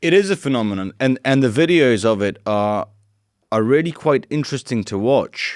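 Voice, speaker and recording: Lively intonation and a British accent come through at a moderate pace on a very clean recording with a silent background. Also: man. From UK. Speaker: interviewer, channel founder. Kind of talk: interview. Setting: in person interview in Warsaw.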